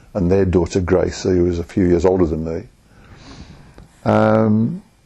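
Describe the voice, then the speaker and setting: A man with a Birmingham accent uses lively intonation at a fairly slow pace, his tone dark and mellow and his pitch very deep and low. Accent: Birmingham (Brummie) English. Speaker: oral history interviewee. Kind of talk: oral history interview. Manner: halting, with many restarts.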